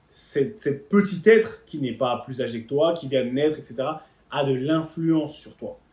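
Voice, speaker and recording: A man speaks at a moderate pace with an animated tone. His voice is somewhat breathy. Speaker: motivational speaker on leadership. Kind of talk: motivational talk.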